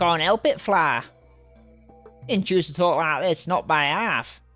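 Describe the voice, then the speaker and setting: A put-on character voice with a middle pitch moves at a fairly slow pace. Faint music plays in the background. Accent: strong British. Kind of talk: coarse, colloquial.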